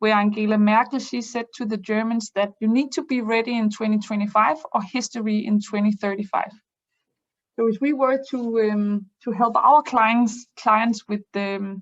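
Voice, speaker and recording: A woman speaks at a fairly high pitch with fairly even intonation and a somewhat breathy quality. The background is quiet, and the sound is dry and close with no echo. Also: moderate pace. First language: not English. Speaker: business improvement consultant. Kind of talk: webinar presentation. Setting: online webinar. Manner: halting, many fillers.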